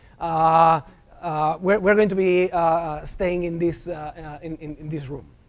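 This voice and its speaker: A man speaks with a strong Argentine accent, his pitch high for a man. He goes at a fairly slow pace with fairly even intonation. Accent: thick Argentine Spanish. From Argentina. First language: Spanish. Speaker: professor. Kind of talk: lecture. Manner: hesitant, many filler sounds.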